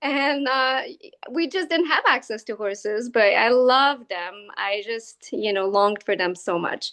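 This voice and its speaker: With a French Canadian accent, a woman speaks at a fairly slow pace in a fairly high pitch with lively intonation. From Quebec, downtown Montreal. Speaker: equine-assisted learning facilitator. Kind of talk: interview. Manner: hesitant, many fillers.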